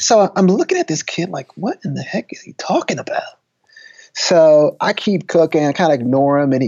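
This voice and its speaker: A man with a Texan accent at a moderate pace. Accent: Texan American. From East Texas. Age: 30s. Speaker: football coach turned lecturer and author. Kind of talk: casual interview.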